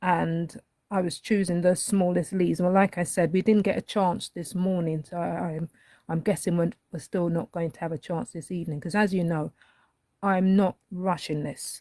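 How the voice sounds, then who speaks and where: The tone is dark and mellow, with ordinary pitch variation. The sound is dry and close, with no echo. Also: woman. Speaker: colouring art teacher. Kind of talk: live-stream tutorial. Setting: live stream with chat. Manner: hesitant, many fillers; unhurried.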